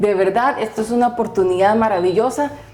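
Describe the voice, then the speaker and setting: A woman's voice over noticeable background noise. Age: young. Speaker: podcast host. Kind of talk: podcast interview intro.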